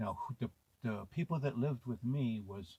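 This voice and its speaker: A dark, mellow, somewhat breathy voice with an American accent, at a moderate pace. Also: man. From US West Coast, South Central Los Angeles. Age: 60s. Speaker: video memoirist. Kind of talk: personal reminiscence. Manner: halting, with fillers.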